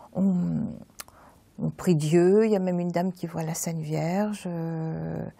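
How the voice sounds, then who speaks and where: A woman speaks at a very slow pace in a dark, mellow tone. Her intonation is monotone and flat. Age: 70s. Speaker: churchgoer giving testimony. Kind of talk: testimony. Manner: halting.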